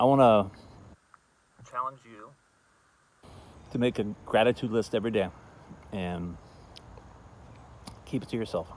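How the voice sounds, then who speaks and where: A quiet, mumbling man with ordinary pitch variation. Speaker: festival founder. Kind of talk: casual talk to camera. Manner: mumbling, quiet.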